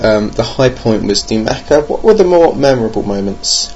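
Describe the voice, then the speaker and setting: Speaking with a British accent, a man at a medium pitch is heard against noticeable background noise. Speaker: podcast host, board game reviewer. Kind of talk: casual solo podcast monologue. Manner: hesitant, many fillers; dry, jokey humour.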